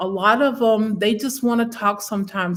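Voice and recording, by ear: With fairly even intonation, a woman speaks at a moderate pace.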